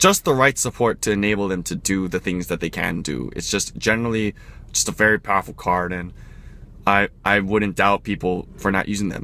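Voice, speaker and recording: This man has a fairly low pitch and a bright, sharp tone, with ordinary pitch variation. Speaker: card game deck reviewer. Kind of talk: casual commentary / deck review. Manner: fast; halting, with many fillers and restarts.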